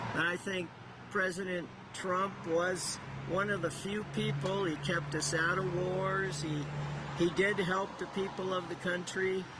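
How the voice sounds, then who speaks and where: Set against noticeable background noise and audible room echo, the voice moves at a fairly slow pace in a flat monotone. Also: man, high pitch for a man. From Iowa, US Midwest. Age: 60s. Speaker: rally attendee. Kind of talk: street interview. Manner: halting.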